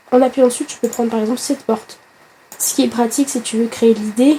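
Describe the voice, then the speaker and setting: A woman speaks at a very fast pace with a fairly high pitch and fairly even intonation. Noticeable background noise runs behind her. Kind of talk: casual gaming tutorial talk. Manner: chatty, friendly.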